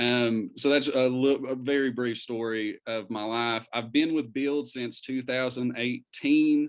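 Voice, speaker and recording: A man of medium pitch with a slight Eastern Kentucky accent, fairly even intonation, a fairly slow pace and hardly any pauses. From Eastern Kentucky, Pikeville. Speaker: community organizer. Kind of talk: talk to an interfaith group. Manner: hesitant, many fillers.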